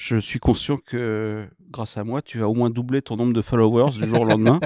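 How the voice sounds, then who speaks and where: A moderate pace, dark, mellow tone and monotone, flat intonation, in a dry sound with no echo against a quiet background. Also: man. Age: 50s. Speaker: entrepreneur; guest. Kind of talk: interview. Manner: hesitant, many fillers. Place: studio. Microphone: studio mic.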